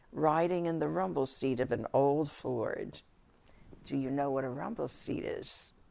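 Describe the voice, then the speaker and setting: With audible room echo, a woman with a very deep, low pitch and a dark, mellow tone speaks at a fairly slow pace with lively intonation. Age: 90s. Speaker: group psychotherapist giving a talk. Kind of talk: prepared speech. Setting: conference breakfast audience. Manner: formal.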